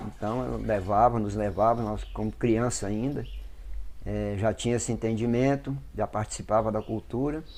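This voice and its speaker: This man has a plain, everyday voice pitched fairly low. His intonation stays fairly even. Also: moderate pace. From Brazil, Brasília / Goiás region. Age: 60s. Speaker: Afro-Brazilian religious priest. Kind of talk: interview testimony.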